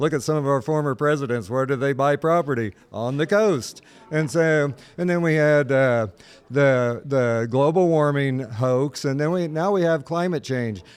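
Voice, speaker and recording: With an American accent, a man has an ordinary speaking voice at a fairly high pitch, moving at a moderate pace with ordinary pitch variation. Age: 60s. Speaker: state politician. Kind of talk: political interview.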